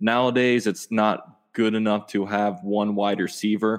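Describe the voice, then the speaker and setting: A man talks in a flat monotone. The background is quiet. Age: 20s. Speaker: sports YouTuber. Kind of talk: casual chat.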